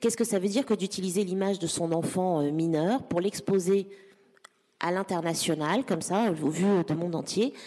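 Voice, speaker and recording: Her pitch moves in an ordinary way. She is a woman with a fairly low voice. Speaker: digital policy council president and activist. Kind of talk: panel discussion. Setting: stage with audience. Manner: halting.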